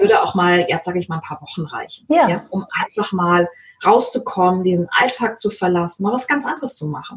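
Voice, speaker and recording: A woman's ordinary speaking voice at medium pitch, fairly quick in pace with lively intonation. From Mecklenburg-Vorpommern, rural. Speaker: sales coach. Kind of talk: interview.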